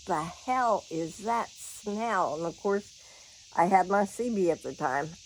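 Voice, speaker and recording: A woman's animated, lively-sounding voice with a Southern US accent and bouncy intonation. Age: 70s. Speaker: vlogger. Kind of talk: casual chat. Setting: at home.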